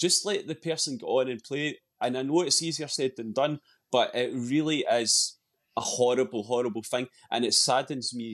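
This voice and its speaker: Someone in a Scottish accent speaks at a moderate pace with ordinary pitch variation. The background is quiet. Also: man. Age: 40s. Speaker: football fan commentator. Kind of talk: casual chat.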